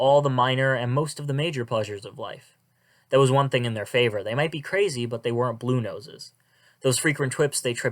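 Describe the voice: Over a quiet background, the speaker does some plain reading aloud.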